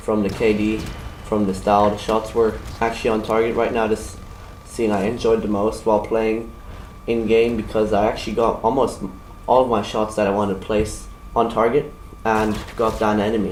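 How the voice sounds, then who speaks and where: A man with a German accent speaks at a moderate pace in a fairly low, monotone voice, his loudness very even, with audible room echo and noticeable background noise. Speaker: gaming YouTuber. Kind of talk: video game weapon review. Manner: halting.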